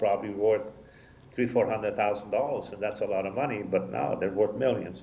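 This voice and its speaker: Audible room echo surrounds a man speaking at a fairly low pitch and fairly quick pace, with ordinary pitch variation. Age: 70s. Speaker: rabbi. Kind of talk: casual chat. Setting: synagogue live broadcast.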